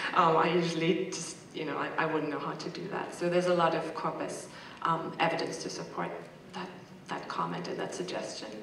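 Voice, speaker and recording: Amid noticeable background noise and audible room echo, a woman talks at a fairly quick pace with a fairly low pitch and monotone, flat intonation. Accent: German. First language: German. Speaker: corpus linguistics researcher, audience member. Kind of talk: panel Q&A comment. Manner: hesitant, many fillers.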